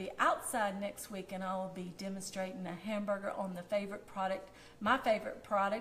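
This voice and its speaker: Medium-pitched speech from a woman with a Southern US accent at a fairly quick pace, with audible room echo. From US South. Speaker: food blogger. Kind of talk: cooking demonstration. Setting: Facebook Live video. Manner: casual, chatty.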